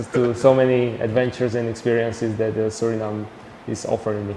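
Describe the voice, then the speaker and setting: A man with a Slovak accent talks at a fairly quick pace in a medium pitch with monotone, flat intonation, amid noticeable background noise and audible room echo. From Slovakia. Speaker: traveller and photographer. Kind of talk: TV interview. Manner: halting.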